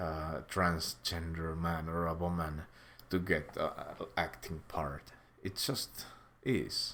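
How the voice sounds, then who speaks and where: With a Finnish accent, a man speaks in a very deep, low pitch and fairly even intonation. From Finland. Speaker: YouTuber, commentator. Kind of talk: casual commentary monologue. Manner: halting, many fillers; slow.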